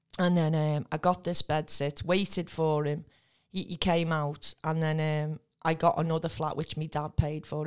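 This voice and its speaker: The speaker has a northern English accent and a moderate pace. The recording is very clean, with a silent background. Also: woman. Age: 50s. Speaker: recovering addict. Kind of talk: testimony.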